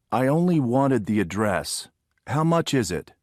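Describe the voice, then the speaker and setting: In a put-on character voice, a man at a medium pitch makes very wide pitch swings at a moderate pace, on a very clean recording with a silent background. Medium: audio drama.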